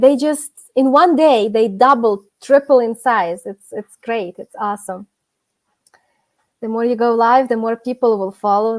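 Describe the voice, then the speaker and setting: With a Ukrainian accent, a woman speaks at a fairly slow pace and a fairly high pitch, with ordinary pitch variation, big swings in loudness, and a dry, close sound with no echo. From Ukraine. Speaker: gardening youtuber. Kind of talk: casual chat. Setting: live stream. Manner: halting.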